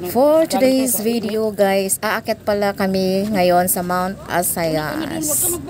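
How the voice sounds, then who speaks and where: Over noticeable background noise, a woman with a Visayan accent talks at a very slow pace with hardly any pauses, her medium pitch carried by lively intonation. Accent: Visayan accent in Tagalog. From Visayas, Philippines. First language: Cebuano (speaking Tagalog). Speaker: travel vlogger. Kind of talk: vlog voice-over. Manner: casual, chatty.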